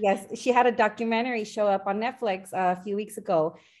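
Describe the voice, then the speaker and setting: Speaking at a moderate pace over a quiet background, a woman with a plain, everyday voice keeps a medium pitch and fairly even intonation. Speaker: podcast host and trauma life coach. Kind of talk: casual interview chat.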